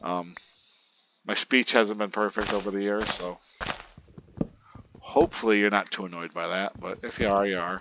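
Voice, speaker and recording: A man's fairly low voice at a moderate pace, with fairly even intonation, long, frequent pauses and noticeable background noise. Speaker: gaming youtuber. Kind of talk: casual gameplay commentary.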